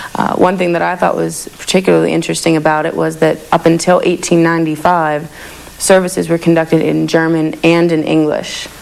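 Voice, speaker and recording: Speaking at a fairly quick pace in an American accent, a woman is heard over noticeable background noise. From Pittsburgh, Pennsylvania. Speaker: community volunteer videographer. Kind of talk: documentary narration.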